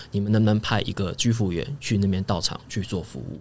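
Somewhat breathy, a man talks at a fairly quick pace. His pitch is fairly low. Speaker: home care worker. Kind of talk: casual chat.

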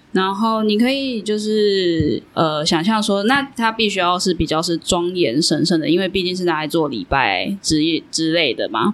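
Over noticeable background noise, a woman speaks at a moderate pace with lively intonation and hardly any pauses. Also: medium pitch for a woman. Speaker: podcast host. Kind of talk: casual chat. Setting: small studio room.

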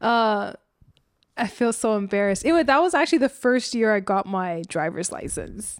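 Speaking at a moderate pace, a woman with a fairly high pitch makes very wide pitch swings. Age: 30s. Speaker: adult daughter. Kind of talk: casual chat.

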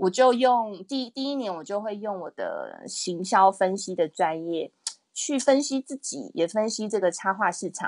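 A woman speaks in an ordinary speaking voice at a medium pitch and fairly slow pace, with lively intonation. The sound is dry and close with no echo, over a quiet background. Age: 30s. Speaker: illustrator and picture book author. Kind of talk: interview.

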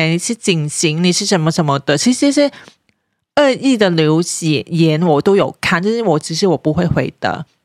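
Speaking in a Hong Kong accent at a moderate pace, a woman with a fairly low pitch makes very wide pitch swings, her sound dry and close with no echo. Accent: Hong Kong Cantonese-accented Mandarin. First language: Cantonese (speaking Chinese). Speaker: parenting blogger. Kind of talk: casual chat.

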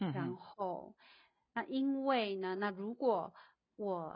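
This is a woman speaking at a medium pitch. Her pitch variation is ordinary. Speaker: guest discussing social justice. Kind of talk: casual chat. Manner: halting, many fillers.

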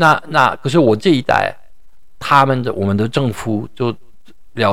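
This man's pitch varies in an ordinary way. His speech moves at a moderate speed. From France. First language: French (speaking Chinese). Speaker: professor and wine educator. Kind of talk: interview. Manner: halting, with frequent repetitions.

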